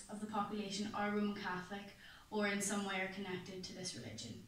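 A woman's voice with light background noise and audible room echo. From Ireland. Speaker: student presenter. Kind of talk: class presentation. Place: classroom. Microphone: camera far.

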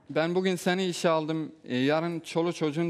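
A man is speaking. His pace is fairly quick. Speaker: reality show participant; talk show guest. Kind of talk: casual chat. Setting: TV studio. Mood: defensive, troubled. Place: studio. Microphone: headset.

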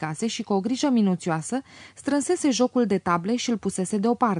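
Lively intonation in plain reading aloud

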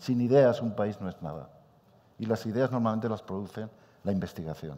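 The voice has a dark, mellow tone. Its intonation is lively at a moderate pace. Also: man. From Spain. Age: 60s. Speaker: supercomputing scientist; speaker. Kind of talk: panel debate. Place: hall.

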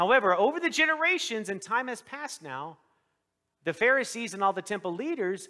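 Against a quiet background, a man talks at a very fast pace in a raised, projected voice with a bright, sharp tone. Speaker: pastor. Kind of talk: sermon. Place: church.

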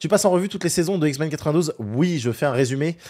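A man speaks with a dark, mellow tone and very wide pitch swings. The background is quiet. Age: 30s. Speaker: pop culture YouTuber and streamer; pop culture YouTuber, streamer. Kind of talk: live stream recap. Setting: live stream. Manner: hesitant, many fillers. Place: home room. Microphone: studio mic.

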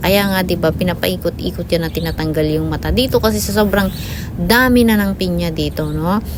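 Noticeable background noise runs beneath a woman talking at a fairly quick pace. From Philippines, La Union (Ilocos). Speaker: vlogger. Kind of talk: casual voice-over narration. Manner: halting, stammering at times.

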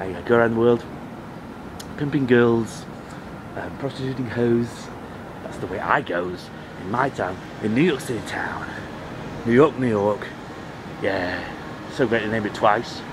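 Amid noticeable background noise, a man with an English accent speaks at a fairly slow pace and medium pitch, with ordinary pitch variation and long, frequent pauses. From England. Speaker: comedy vlogger. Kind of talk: casual live vlog. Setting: outdoors on a rooftop. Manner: rambling and repetitive; animated.

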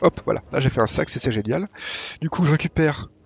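A man talks at a fairly quick pace with lively intonation. Vocal fry runs through his voice. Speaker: gaming YouTuber. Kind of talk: tutorial. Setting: home recording, gameplay voiceover. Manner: casual, hesitant with fillers.

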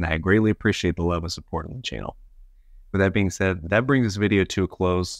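Over a quiet background, a man with a very deep, low pitch talks at a very fast pace in a dry sound with no echo. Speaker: channel host. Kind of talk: casual vlog chat. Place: home room. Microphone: lapel.

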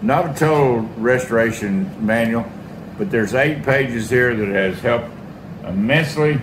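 A man speaks at a fairly slow pace while noticeable background noise plays around him. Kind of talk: casual workshop tutorial. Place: workshop. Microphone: phone near.

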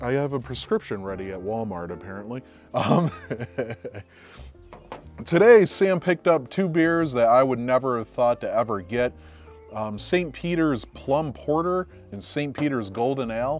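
A man talks at a moderate pace with big swings in loudness. The sound is dry with no echo, and faint music plays in the background. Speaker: beer reviewer. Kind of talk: casual vlog chat. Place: garden. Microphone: lapel.

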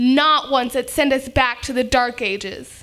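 A woman's raised, projected voice. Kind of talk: prepared speech. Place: meeting room. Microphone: podium.

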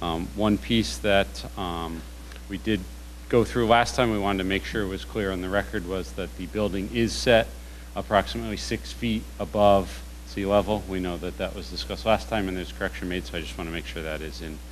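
A man's very deep, low voice with vocal fry, at a fairly quick pace over light background noise. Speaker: presenter. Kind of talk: formal presentation. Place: meeting room.

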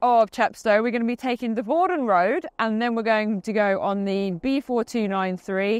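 Here a woman talks at a moderate pace. The background is quiet and the sound is dry, with no echo. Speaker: presenter. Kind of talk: casual vlog chat. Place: open country.

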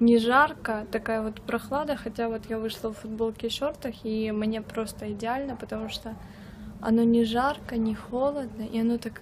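A somewhat breathy woman at a moderate pace, with light background noise. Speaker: vlogger. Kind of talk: casual vlog chat. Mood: relaxed, content. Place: garden. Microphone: phone near.

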